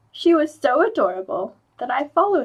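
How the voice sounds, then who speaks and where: Putting on a character voice, a woman speaks at a fairly quick pace in a high pitch with a cheerful tone. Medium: read story. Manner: light, cheerful.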